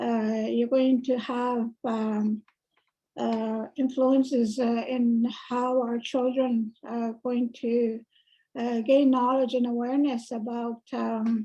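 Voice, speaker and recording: The voice has a dark, mellow tone and monotone, flat intonation. It moves at a very slow pace. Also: woman, high pitch for a woman. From Canada, First Nation reserve. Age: 60s. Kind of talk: testimony. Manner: halting.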